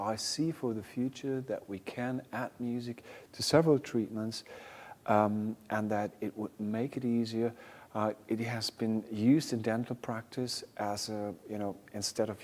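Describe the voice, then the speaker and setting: Speaking with a German accent, a man holds a medium pitch and fairly even intonation. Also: very clean recording, silent background. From Germany. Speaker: music therapy researcher. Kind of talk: panel discussion. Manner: halting.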